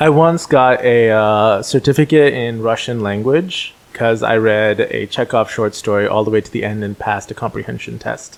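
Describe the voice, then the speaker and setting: Here a man of medium pitch speaks at a moderate pace with hardly any pauses. His pitch variation is ordinary. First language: Telugu. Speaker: podcast host. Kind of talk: casual chat.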